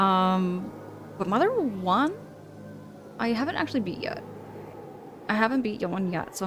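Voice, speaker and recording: With music in the background and audible room echo, a woman talks in an animated tone with ordinary pitch variation and long, frequent pauses. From Canada, Ontario. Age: 30s. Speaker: streamer. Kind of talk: live game-stream chat.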